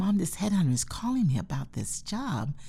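With an American accent, a woman speaks at a moderate pace in a somewhat breathy voice with a dark, mellow tone. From North Carolina, US South. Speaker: museum director. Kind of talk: interview.

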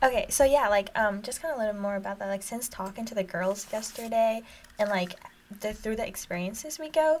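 A woman speaks in an ordinary speaking voice with an American accent. Her pitch is fairly high, with ordinary pitch variation and a fairly quick pace. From Jordan, then US from 2009. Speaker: college student. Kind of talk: casual chat.

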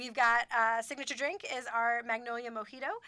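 A woman's bright, sharp tone at a high pitch, at a fairly quick pace. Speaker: community theater director. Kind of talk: radio interview. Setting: studio. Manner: fast talker.

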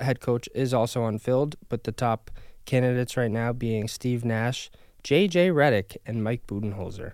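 Here is an ordinary speaking voice from a man with an American accent, at a medium pitch and a moderate pace. His pitch varies in an ordinary way, and the recording is very clean with a silent background. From upstate New York, near Albany. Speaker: sports podcast host. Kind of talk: casual sports chat.

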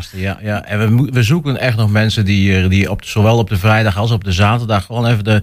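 On a very clean recording with a silent background, a man talks at a fairly quick pace with fairly low pitch and fairly even intonation. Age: 20s. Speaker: festival organizer. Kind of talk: radio interview. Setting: radio studio. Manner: hesitant, many filler sounds.

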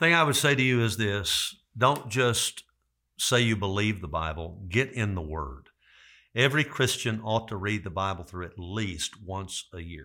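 A man with a fairly low pitch talks at a moderate pace with lively intonation and a bright, sharp tone. The recording is very clean, with a silent background. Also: big swings in loudness. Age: 60s. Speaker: pastor. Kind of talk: interview.

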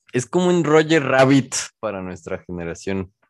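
Speaking at a fairly slow pace, a man uses very wide pitch swings. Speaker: podcast host. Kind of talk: casual chat.

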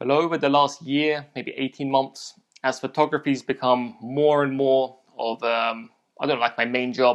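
In a London accent, a man speaks at a medium pitch with fairly even intonation. The background is quiet. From South London, England. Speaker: photographer. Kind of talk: interview. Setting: video call.

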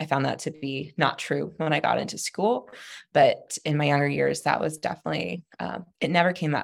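This voice, with an American accent, carries audible vocal fry. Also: woman. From Texas. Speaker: customer success manager and former architect. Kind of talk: interview.

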